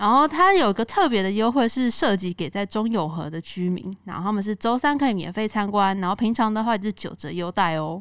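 A woman speaks at a medium pitch with lively intonation in an unremarkable speaking voice. Her pace is fairly quick with hardly any pauses, on a very clean recording with a silent background. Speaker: podcast host. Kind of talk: casual chat.

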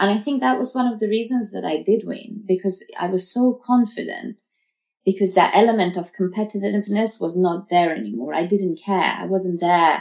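A woman speaks in a British accent at a medium pitch. Her pitch varies in an ordinary way. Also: moderate pace. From Uzbekistan, raised in Russia and the UK. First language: Farsi. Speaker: model. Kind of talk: interview.

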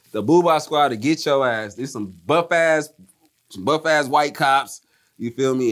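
This is an unremarkable speaking voice with an American accent. The pace is fairly slow. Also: man. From US East Coast. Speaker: rapper. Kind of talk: casual chat. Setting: kitchen.

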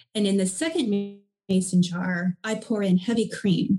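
At a fairly slow pace, the voice comes across somewhat breathy with a dark, mellow tone. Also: woman. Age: 40s. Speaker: skincare company co-founder. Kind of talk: interview.

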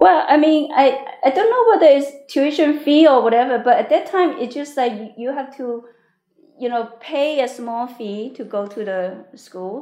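A woman with a Chinese accent speaks at a fairly slow pace in a high voice, her intonation lively and her loudness swinging widely. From China, Fujian province, then Hong Kong. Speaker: business executive. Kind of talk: interview. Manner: halting, with repetitions.

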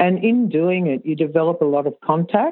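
A woman speaks with an Australian accent and lively intonation. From Australia, Sydney. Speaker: riding coach. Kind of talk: interview.

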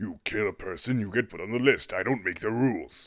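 A man does a put-on character voice at a medium pitch and a fairly quick pace. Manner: blustering, grandiose, flustered.

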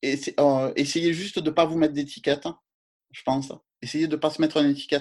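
A man with a fairly high pitch speaks in a monotone, flat intonation, his loudness swinging widely. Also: fairly quick pace. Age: 40s. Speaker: yoga and astrology page creator. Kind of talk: interview. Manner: halting.

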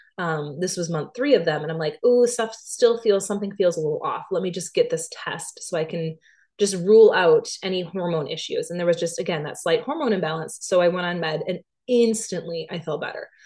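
This woman talks at a medium pitch and a fairly quick pace. Her voice is somewhat breathy, with ordinary pitch variation. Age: 30s. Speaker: podcast host and fitness instructor. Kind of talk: solo podcast monologue. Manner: casual, many filler words.

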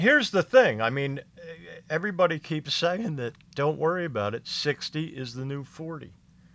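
A man with an American accent speaks at a moderate pace in an unremarkable speaking voice, pitched fairly high for a man, with lively intonation. His loudness swings widely, and the recording is very clean with a silent background. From Philadelphia area, US. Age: 50s. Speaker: stand-up comedian. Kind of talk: casual chat.

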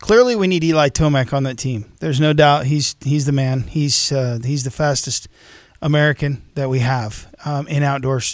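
In an unremarkable speaking voice, a man with a fairly high pitch talks at a moderate pace. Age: 40s. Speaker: co-host. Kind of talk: casual radio chat.

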